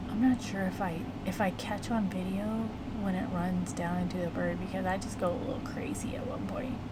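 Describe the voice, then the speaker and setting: A woman's quiet mumbling at a fairly quick pace, with noticeable background noise and audible room echo. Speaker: watercolor hobbyist youtuber. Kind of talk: casual painting voiceover.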